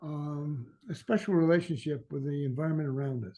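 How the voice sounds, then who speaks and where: Here a man with an American accent speaks at a moderate pace in a dark, mellow tone. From New York City (Queens). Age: 80s+. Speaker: master gardener. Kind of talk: lecture. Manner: halting.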